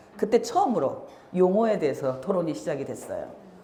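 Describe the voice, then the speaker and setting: Over noticeable background noise and audible room echo, a woman talks at a fairly quick pace with a medium pitch. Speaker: activist and lecturer. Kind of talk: lecture.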